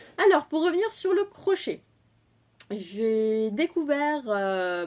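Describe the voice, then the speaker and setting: A woman talks very slowly. Her recording is very clean, the background silent. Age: 30s. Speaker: crochet and knitting podcaster. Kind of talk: casual chat. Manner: hesitant, many fillers.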